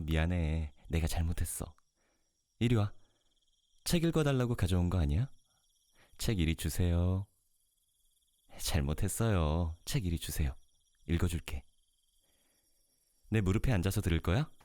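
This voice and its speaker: A soft-spoken man's very deep, low voice, dark and mellow in tone, with ordinary pitch variation, very even loudness, a moderate pace and long, frequent pauses, on a very clean recording with a silent background. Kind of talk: ASMR role play talk to listener.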